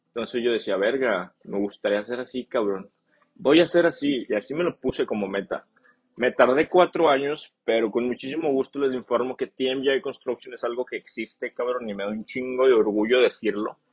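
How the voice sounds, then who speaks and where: This man's voice has a medium pitch, ordinary pitch variation, and a moderate pace. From northern Mexico. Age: 20s. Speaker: podcast host and construction business owner. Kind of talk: casual monologue podcast. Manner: animated.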